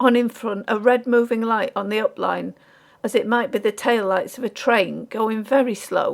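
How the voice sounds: This is a natural reading voice.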